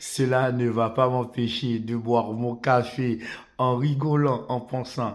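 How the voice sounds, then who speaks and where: Very slow delivery in a monotone, flat intonation. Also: man. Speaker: football commentator YouTuber. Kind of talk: football opinion monologue. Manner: hesitant with many fillers.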